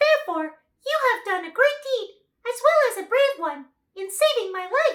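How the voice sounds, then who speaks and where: This is a woman doing a put-on character voice, squeaky and extremely high. Her pace is moderate. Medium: read story. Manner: dignified.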